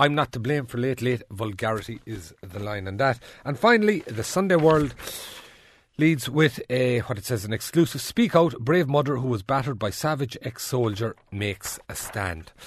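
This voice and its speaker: A man with an Irish accent speaks at a moderate pace, his voice somewhat breathy and medium in pitch. His intonation is lively, and the background is quiet. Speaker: radio presenter. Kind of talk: newspaper review; panel discussion.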